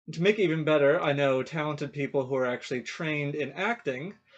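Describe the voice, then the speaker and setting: Over a quiet background, a man talks at a fairly quick pace in a normal speaking voice. His pitch is fairly high with ordinary variation. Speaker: fiction writer and playwright. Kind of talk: casual introduction to camera.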